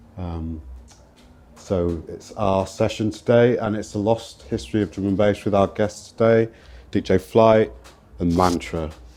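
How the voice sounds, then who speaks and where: Fairly low male voice at a fairly slow pace, with ordinary pitch variation and music in the background. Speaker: event host. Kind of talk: hosted panel discussion. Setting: live talk with microphone.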